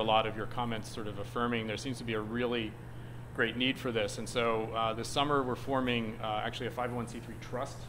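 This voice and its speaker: Audible room echo around a man's voice of medium pitch. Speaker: nonprofit services director. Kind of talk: presentation to a group. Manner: fast.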